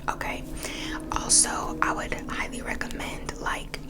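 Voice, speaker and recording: Someone whispers over noticeable background noise. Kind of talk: ASMR whisper ramble. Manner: whispered.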